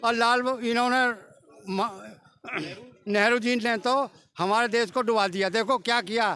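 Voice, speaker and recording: A man uses a raised, projected voice at an extremely high pitch. His loudness stays very even, his intonation is fairly even, and his pauses are long and frequent. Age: 70s. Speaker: member of the public interviewed on the street. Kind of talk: vox pop interview.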